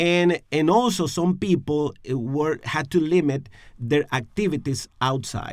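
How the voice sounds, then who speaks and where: A man with a Spanish accent speaks fairly slowly at a fairly high pitch. His pitch varies in an ordinary way. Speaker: pastor. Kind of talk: podcast discussion on faith and emotional health. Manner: halting, searching for words.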